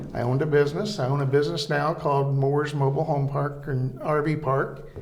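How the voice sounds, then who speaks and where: A man with an American accent talks at a very fast pace in a fairly high pitch. His intonation is monotone and flat, with noticeable background noise. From US Midwest, east-central Illinois. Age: 70s. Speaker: small-town mayor. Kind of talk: interview. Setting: city hall. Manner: brief answers.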